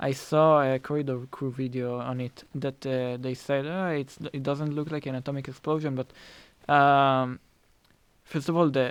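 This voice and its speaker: In a very clean recording with a silent background, a man with a non-native accent speaks at a fairly high pitch in a monotone, flat intonation. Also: moderate pace. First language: not English. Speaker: film director. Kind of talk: casual chat. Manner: halting, many repeated words.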